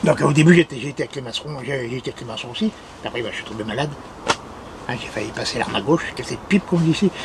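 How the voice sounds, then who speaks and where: Noticeable background noise surrounds a man's fairly high-pitched voice. He talks at a very fast pace with lively intonation. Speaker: municipal gardener. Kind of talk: casual talk to camera.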